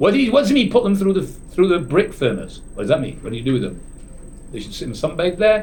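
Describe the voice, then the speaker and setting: This man sounds animated, his high pitch making very wide swings. Audible room echo surrounds his voice. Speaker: rabbi teaching a Torah class. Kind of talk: lecture. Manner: dynamic, animated; halting, frequent restarts.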